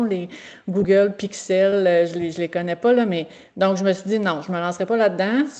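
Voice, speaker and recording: A woman speaks at a fairly quick pace. Her voice sits at a medium pitch with a dark, mellow tone. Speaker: veterinary technician teacher. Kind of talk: presentation. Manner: halting.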